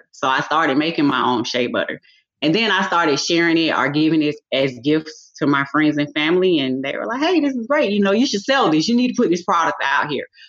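Fairly quick and lively in intonation, a woman with an American accent has a plain, everyday voice at a fairly low pitch. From US South, Atlanta area, Georgia. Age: 40s. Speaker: pharmacy technician and massage therapist. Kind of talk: interview.

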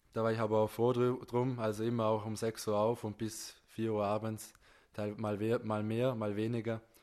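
Against a quiet background, a man talks at a moderate pace and medium pitch. His intonation is monotone and flat. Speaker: fitness enthusiast, accident survivor. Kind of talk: interview.

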